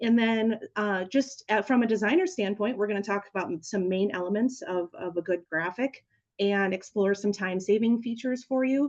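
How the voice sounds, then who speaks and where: A woman talks at a medium pitch with ordinary pitch variation. There are hardly any pauses. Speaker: small business coach and webinar presenter. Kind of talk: webinar tutorial. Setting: online webinar with screen sharing. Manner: fast.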